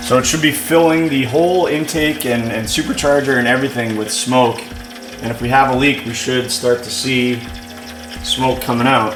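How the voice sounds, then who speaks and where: A moderate pace, ordinary pitch variation, and audible room echo. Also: man, medium pitch for a man. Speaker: car enthusiast YouTuber. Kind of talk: garage tutorial vlog. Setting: home garage. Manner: casual, with fillers.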